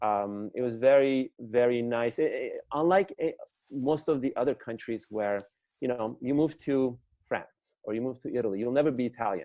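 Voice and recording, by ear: With a post-Soviet accent, a man speaks at a medium pitch and moderate pace, with ordinary pitch variation. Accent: foreign, from the former Soviet Union.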